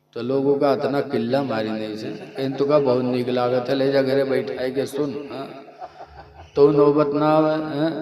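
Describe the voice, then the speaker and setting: Noticeable background noise sits behind this speaker. He is a man with a fairly high voice. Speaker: Islamic preacher giving a sermon. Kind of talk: religious sermon with humorous anecdotes. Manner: lively, conversational, humorous.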